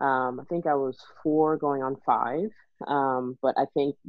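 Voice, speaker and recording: A woman's very deep, low voice with a Texan accent. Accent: Texan American English. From Texas. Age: 30s. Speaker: IT worker and mother. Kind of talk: casual interview.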